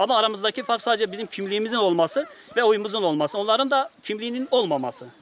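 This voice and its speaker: A man's high-pitched voice with lively intonation at a very fast pace, over noticeable background noise. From eastern Turkey, Muş. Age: 30s. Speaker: villager. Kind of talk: news interview.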